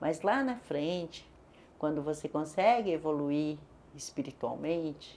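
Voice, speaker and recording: A woman's very deep, low voice with a dark, mellow tone at a fairly slow pace. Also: ordinary pitch variation. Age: 60s. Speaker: women's advocate. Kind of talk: testimony.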